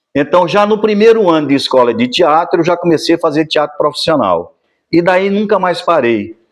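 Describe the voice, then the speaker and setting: A man with a high pitch and lively intonation at a moderate pace, very even in loudness, over a quiet background. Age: 60s. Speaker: actor and musician. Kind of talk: documentary interview.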